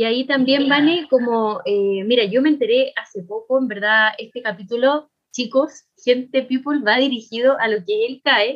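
A woman with a Chilean accent speaks at a high pitch. Her intonation is lively and her pace is moderate. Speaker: podcast co-host. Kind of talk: casual chat.

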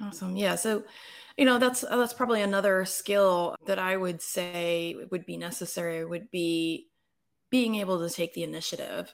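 A woman's unremarkable speaking voice, an unremarkable speaking voice at medium pitch with ordinary pitch variation and a moderate pace, on a very clean recording with a silent background. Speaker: podcast host. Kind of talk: casual interview.

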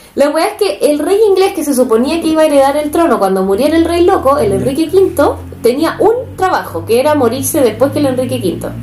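A woman with a Chilean accent speaks at a fairly quick pace and a high pitch, with very wide pitch swings and hardly any pauses. There's audible room echo and noticeable background noise. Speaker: podcast co-host. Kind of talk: casual storytelling. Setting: home living room. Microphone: cheap microphone.

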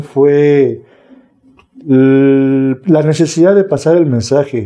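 A man speaks with a dark, mellow tone, a fairly high pitch and ordinary pitch variation. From Mexico City (Milpa Alta / Xochimilco). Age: 40s. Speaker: recovering addict, recovery group leader. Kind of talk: testimony. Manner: calm.

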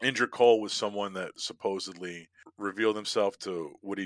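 Against a quiet background, a man with a normal speaking voice talks at a moderate pace, fairly low in pitch and with ordinary pitch variation. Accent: American. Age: 40s. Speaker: podcaster. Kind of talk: casual chat.

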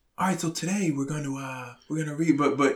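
A man puts on a character voice, breathy and fairly high, at a very fast pace. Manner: flat, unexcited.

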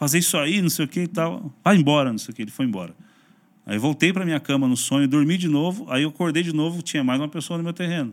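Speaking at a very fast pace, a man has a fairly high pitch and ordinary pitch variation. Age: 40s. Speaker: pastor and YouTuber. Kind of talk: casual interview chat.

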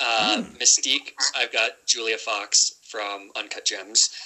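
In a General American accent, a man speaks at a very slow pace. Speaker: podcast guest. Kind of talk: casual chat.

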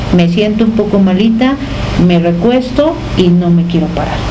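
A woman's medium-pitched voice at a moderate pace, fairly even in intonation, with audible room echo and noticeable background noise. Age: 50s. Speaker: radio host and psychologist. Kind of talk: radio interview.

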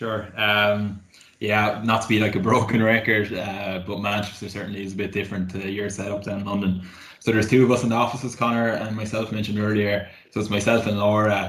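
A man with a Cork accent talks at a fairly quick pace and a fairly low pitch in a monotone, flat delivery. Noticeable background noise and audible room echo fill the recording. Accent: Cork Irish. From Cork, Ireland. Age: 20s. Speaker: graduate market executive. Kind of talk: casual chat.

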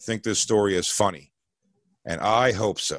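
A man's fairly low, fairly slow delivery in a normal speaking voice. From Philadelphia. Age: 40s. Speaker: comedian. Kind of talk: storytelling.

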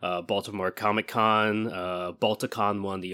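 A bright, sharp tone in an American accent, with fairly even intonation, in a very clean recording with a silent background. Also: man. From California. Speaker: convention vendor and panelist. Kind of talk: interview. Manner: halting, many fillers.

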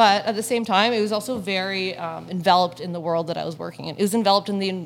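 Talking at a very fast pace, a woman with a medium-pitched voice shows vocal fry and ordinary pitch variation. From Hamilton, Ontario, Canada. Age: 30s. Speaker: entrepreneur with a past drug conviction. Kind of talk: interview. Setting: cafe.

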